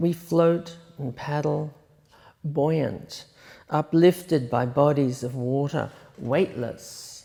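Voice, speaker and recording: A woman's very deep, low voice with an Australian accent, dark and mellow in tone, at a very slow pace with long, frequent pauses, ordinary pitch variation and big swings in loudness. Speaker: poet. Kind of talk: poetry reading.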